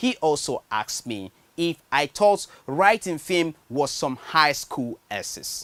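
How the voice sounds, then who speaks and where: A very slow pace in a Nigerian accent. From Nigeria, Benue State. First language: a Nigerian language, not English. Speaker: writer. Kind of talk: personal storytelling monologue.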